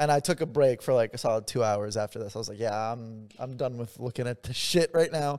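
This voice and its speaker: On a very clean recording with a silent background, a man talks at a fairly quick pace in an ordinary speaking voice, medium in pitch with ordinary pitch variation and big swings in loudness. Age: 20s. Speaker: podcast co-host. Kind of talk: casual chat.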